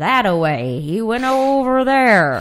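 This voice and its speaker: A female-sounding voice performs a put-on character. The pace is fairly slow. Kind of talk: folksy western drawl.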